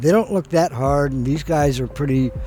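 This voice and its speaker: A man talks at a medium pitch with ordinary pitch variation. There is noticeable background noise. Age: 70s. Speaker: freeskater. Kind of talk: interview testimony.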